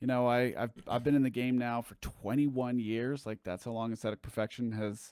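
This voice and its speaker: A man with an American accent talks fast-ish, at a fairly quick pace, with hardly any pauses and monotone, flat intonation in a medium pitch. The recording is very clean with a silent background, the sound dry and close with no echo. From southern California. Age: 30s. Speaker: musician. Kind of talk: casual chat. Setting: live stream.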